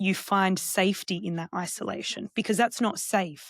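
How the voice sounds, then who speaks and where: With an Australian accent, a woman speaks at a moderate pace in a medium pitch, her intonation fairly even and the sound dry and close with no echo. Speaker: counsellor and psychotherapist. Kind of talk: podcast interview.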